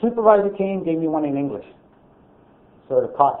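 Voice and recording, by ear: Loud and with audible room echo, a man talks at a fairly quick pace with lively intonation and a fairly high pitch.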